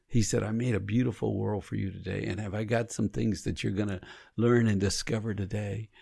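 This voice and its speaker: This man has a dark, mellow tone with vocal fry, a fairly low pitch, ordinary pitch variation and a fairly quick pace. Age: 60s. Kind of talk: casual faith conversation. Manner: animated.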